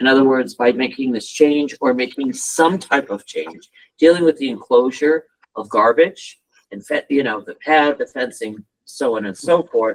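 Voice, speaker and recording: An unremarkable speaking voice moves at a moderate pace with ordinary pitch variation and big swings in loudness, in a dry, close sound with no echo. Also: man, fairly high pitch for a man. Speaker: town staff presenting to planning commission. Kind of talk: public meeting presentation.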